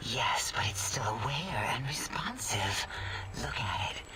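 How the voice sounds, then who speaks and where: A man whispering in a put-on character voice over loud background noise. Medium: machinima. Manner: calm, measured.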